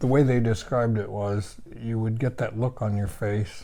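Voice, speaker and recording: Using a dark, mellow tone, a man talks at a moderate pace and fairly low pitch with fairly even intonation. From Washington State. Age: 80s+. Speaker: outdoor writer and show host. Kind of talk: interview.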